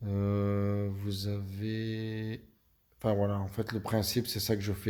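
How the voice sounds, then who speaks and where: With a slight Belgian accent, a man speaks at a very slow pace in a fairly low pitch, his tone dark and mellow and his intonation flat and monotone. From Belgium. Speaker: video game youtuber. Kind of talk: gaming tutorial. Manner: hesitant, many fillers.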